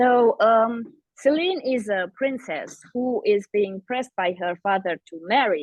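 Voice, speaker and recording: With a non-native accent, a woman with a fairly high pitch speaks at a fairly slow pace and with lively intonation. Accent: foreign accent in English. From Eastern Europe. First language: Eastern European language. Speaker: fantasy author. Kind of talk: podcast interview.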